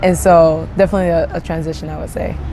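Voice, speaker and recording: There is noticeable background noise and audible room echo around this woman's voice. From Japan (Ibaraki). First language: Japanese. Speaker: interviewee. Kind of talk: interview. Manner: hesitant, many fillers.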